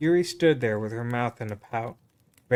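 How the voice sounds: The speaker uses a natural reading voice. Their intonation moves in a lively way.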